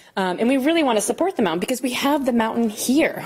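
A woman speaks with lively intonation while noticeable background noise plays behind her. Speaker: ski club president. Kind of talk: presentation.

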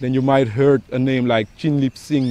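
A man with a dark, mellow tone speaks at a moderate pace in a dry recording with no echo. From Suriname. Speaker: tour guide. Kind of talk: history explanation. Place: garden.

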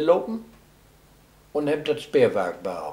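This man has a dark, mellow tone. He speaks with an East Frisian accent. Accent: East Frisian Low German. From East Frisia, northern Germany. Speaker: local eyewitness. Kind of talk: interview answer. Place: home room. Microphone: camera far.

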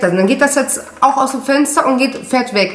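Over noticeable background noise, a woman speaks in a high pitch with an animated tone. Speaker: mom vlogger. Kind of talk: casual vlog monologue to camera. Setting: home office, video recording. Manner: chatty, animated.

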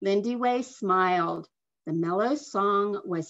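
A natural reading voice, its pitch varying in an ordinary way, comes through with quiet surroundings.

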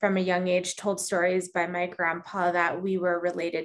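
The intonation is flat and monotone. The pace is moderate. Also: woman. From New Mexico. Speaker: climate policy expert and filmmaker. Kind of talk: interview. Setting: video call. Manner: halting, many fillers. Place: home room. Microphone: video call.

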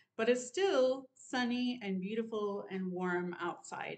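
The background stays quiet. A woman talks at a fairly slow rate, her pitch rising and falling in an ordinary way. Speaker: sewing vlogger. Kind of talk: casual vlog chat. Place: home room. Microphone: webcam.

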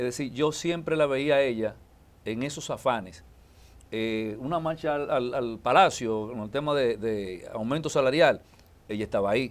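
Ordinary pitch variation accompanies speech delivered at a moderate pace. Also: man. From Dominican Republic, Santo Domingo; Dominican Republic. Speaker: politician and lawyer; politician, lawyer. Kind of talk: interview. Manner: halting. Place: studio. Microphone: lapel.

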